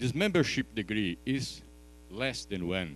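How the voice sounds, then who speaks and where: A man with a non-native accent and very wide pitch swings. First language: Portuguese. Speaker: professor. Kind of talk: conference talk. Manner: halting, with fillers and restarts.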